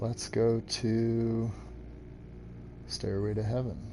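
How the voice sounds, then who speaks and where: A man is speaking. Noticeable background noise and audible room echo surround his voice. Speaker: gaming streamer. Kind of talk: live gameplay stream chat. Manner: halting.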